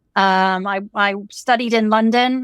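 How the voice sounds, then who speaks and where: In a very clean recording with a silent background and a dry, close sound with no echo, a woman talks at a medium pitch with fairly even intonation. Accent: English. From England. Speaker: fashion designer and college teacher. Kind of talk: interview.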